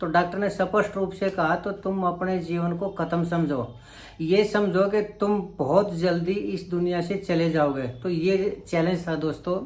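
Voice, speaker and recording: There is audible room echo as a man with a high voice talks with hardly any pauses. His intonation is fairly even. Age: 60s. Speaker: vlogger. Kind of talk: vlog monologue. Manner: halting.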